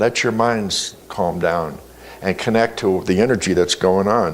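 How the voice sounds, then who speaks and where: There is audible room echo here. Through it, a man talks. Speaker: spiritual teacher. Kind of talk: sermon.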